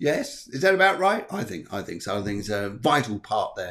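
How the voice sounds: A man talks at a moderate pace with a fairly bright tone. His fairly low pitch makes big swings up and down.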